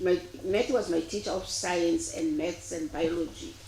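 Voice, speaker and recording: With very wide pitch swings, a woman speaks amid noticeable background noise and audible room echo. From South Africa, Eastern Cape (Cradock). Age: 70s. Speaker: retired teacher, inquest witness. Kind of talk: court testimony. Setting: courtroom. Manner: formal.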